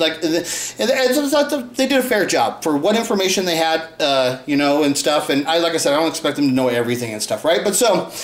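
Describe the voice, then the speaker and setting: Over noticeable background noise, a high-pitched man talks fairly quickly with hardly any pauses and very wide pitch swings. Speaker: YouTube conspiracy theorist. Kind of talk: casual video commentary. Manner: fast; rambling, hesitant.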